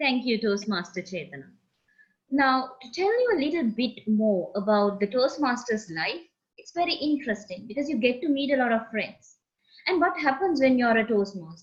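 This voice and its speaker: A woman with a Sri Lankan accent speaks at a high pitch and a moderate pace. Her pitch swings are very wide, and her loudness rises and falls in big swings. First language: Sinhala. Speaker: meeting host, Toastmaster. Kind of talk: club meeting introductions.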